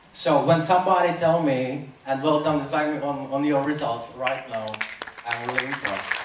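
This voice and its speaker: A man with a Czech accent at a moderate pace, fairly even intonation, noticeable background noise and audible room echo. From Czech Republic. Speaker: motivational speaker. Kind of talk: motivational talk.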